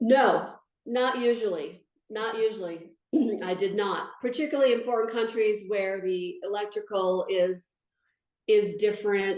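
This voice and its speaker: A woman's fairly high voice at a fairly slow pace, with ordinary pitch variation and audible room echo. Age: 60s. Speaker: patient sharing her story. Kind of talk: interview testimony. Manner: halting.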